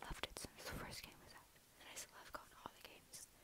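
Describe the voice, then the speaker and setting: The speaker is whispering. The pace is fairly quick. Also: woman. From Scotland. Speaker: ASMR and comedy YouTuber. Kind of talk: ASMR rambling to camera. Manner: whispered, soft, rambling. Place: home room. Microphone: earbuds.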